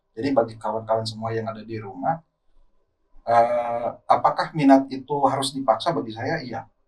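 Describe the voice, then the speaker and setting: There is music in the background as a man talks at a fairly quick pace and medium pitch. His pitch variation is ordinary, and his loudness swings a great deal. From West Java (Sundanese region). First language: Sundanese (speaking Indonesian). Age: young. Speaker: Islamic preacher. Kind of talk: podcast interview.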